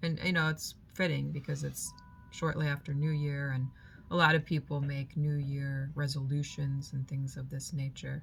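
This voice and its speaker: A woman speaks at a moderate pace in a very deep, low voice for a woman. Her delivery is somewhat breathy and monotone, with flat intonation. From moved from Germany to the US as a child. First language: German. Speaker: spiritual vlogger. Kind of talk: reflective personal monologue.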